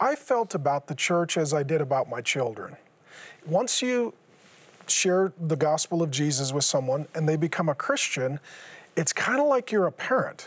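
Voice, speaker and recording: A man talks at a moderate pace with a fairly high pitch and very even loudness. He has a plain, everyday voice. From US Pacific Northwest (Seattle). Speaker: former pastor. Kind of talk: interview testimony.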